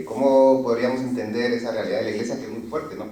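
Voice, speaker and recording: A man with a Guatemalan accent talks at a medium pitch. The room echoes audibly, and background noise is noticeable. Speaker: permanent deacon, audience member. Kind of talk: question from the audience. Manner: hesitant, many fillers.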